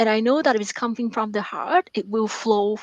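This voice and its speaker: A woman with a Vietnamese accent speaks at a fairly high pitch. The sound is dry and close with no echo, over a quiet background. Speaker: author and math professor. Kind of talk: radio interview. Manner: halting, many fillers and repetitions.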